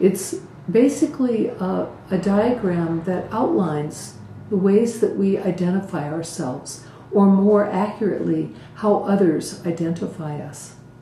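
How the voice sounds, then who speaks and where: In a room with audible echo and noticeable background noise, a woman speaks at medium pitch and a fairly slow pace with ordinary pitch variation. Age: 60s. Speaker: Buddhist community teacher. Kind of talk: talk to community.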